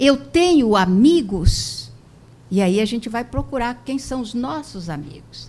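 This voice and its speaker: A woman at a fairly slow pace, her pitch swinging very widely. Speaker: spiritist lecturer. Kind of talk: lecture.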